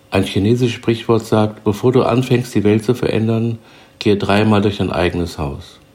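Keeping a moderate pace, a man talks in an ordinary speaking voice, its fairly low pitch moving with ordinary variation. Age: 60s. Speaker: self-help podcaster. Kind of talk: scripted narration. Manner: formal.

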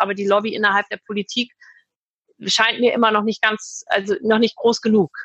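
At a fairly quick pace, a plain, everyday voice speaks with fairly even intonation in a dry, close sound with no echo. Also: woman. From Hamburg, northern Germany. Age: 40s. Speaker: restaurant owner. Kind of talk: interview.

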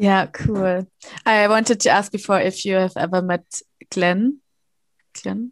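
A woman with a German accent speaks fairly slowly, leaving long, frequent pauses. Her medium-pitched voice keeps fairly even intonation, and the sound is dry and close with no echo. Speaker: podcast co-host. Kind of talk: interview.

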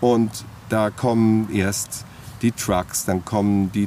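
Flat and monotone in intonation, a man's fairly low voice carries on. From Hamburg, northern Germany. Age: 50s. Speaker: festival organizer. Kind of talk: interview. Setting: outdoors in a park. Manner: halting, many filler words.

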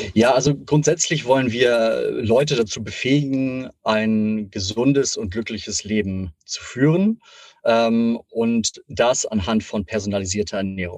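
A man at medium pitch, a normal speaking voice, at a fairly slow pace. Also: ordinary pitch variation. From Hamburg, northern Germany. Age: 30s. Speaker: health startup executive. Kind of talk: interview.

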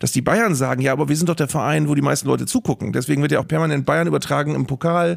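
This man speaks very fast. The intonation is fairly even. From northern Germany, Bremen. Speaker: sports broadcaster and stadium announcer. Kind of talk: casual chat.

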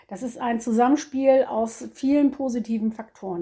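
At a fairly slow pace, a woman talks in an ordinary speaking voice, fairly high in pitch with ordinary pitch variation. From northern Germany, Cuxhaven. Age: 50s. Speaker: animal shelter chairwoman. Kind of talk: interview. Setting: office at animal shelter.

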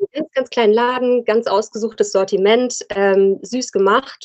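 A woman speaks in a normal speaking voice at a fairly high pitch. Her intonation is fairly even and her pace fairly slow. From Rhein-Main area, Germany. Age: 30s. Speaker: fashion entrepreneur. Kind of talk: casual interview.

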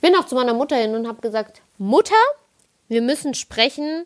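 Her voice sits high in pitch for a woman, with lively intonation. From Palatinate, Kaiserslautern. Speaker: podcaster. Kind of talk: casual monologue.

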